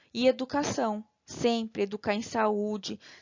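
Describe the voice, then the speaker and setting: The speaker is a woman with a monotone, flat intonation. Her pitch sits in the middle range. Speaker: nursing teacher. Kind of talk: lecture.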